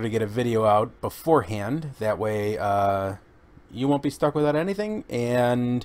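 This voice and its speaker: With ordinary pitch variation, a man keeps his delivery at a moderate speed. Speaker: shopping vlogger. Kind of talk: casual vlog chat. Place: home room.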